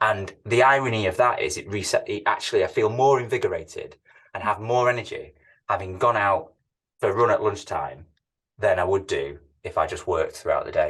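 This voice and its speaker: The speaker has a Manchester accent. The pace is fairly quick. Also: man. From northern England, Manchester. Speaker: tech company CEO. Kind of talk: interview. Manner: hesitant, repeats words.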